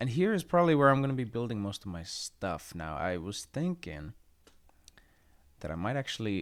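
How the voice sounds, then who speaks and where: A man is speaking. His pace is fairly quick. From Finland. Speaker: gaming YouTuber. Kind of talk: casual gameplay commentary. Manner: relaxed, halting with frequent fillers.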